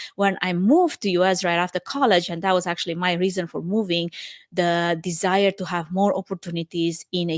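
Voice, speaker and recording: Speaking with a Romanian accent, a woman has a fairly low pitch and fairly even intonation, recorded with a dry, close sound and no echo. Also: very clean recording, silent background. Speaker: podcast host, event production professional. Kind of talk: podcast monologue.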